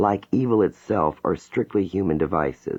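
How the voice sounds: Reading in a natural voice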